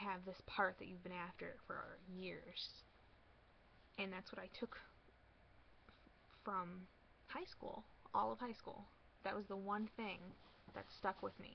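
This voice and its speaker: Speaking very slowly with long, frequent pauses, a woman uses vocal fry at a medium pitch. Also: ordinary pitch variation. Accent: American. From Michigan. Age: 20s. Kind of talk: casual talk to camera.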